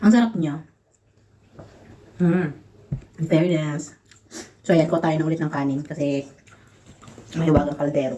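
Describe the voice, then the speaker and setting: A woman with a very deep, low pitch, moderate pace and long, frequent pauses. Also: ordinary pitch variation. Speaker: vlogger, overseas domestic worker. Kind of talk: casual vlog while eating. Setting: in her room.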